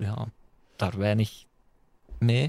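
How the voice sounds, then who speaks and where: The man's voice comes across as somewhat breathy. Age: 20s. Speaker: DJ and radio host. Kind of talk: casual chat.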